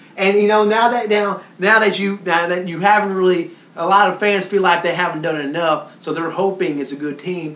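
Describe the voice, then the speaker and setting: Over noticeable background noise, a voice with an American accent moves along at a fairly quick pace. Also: man. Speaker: sports reporter and host. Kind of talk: sports commentary talk show.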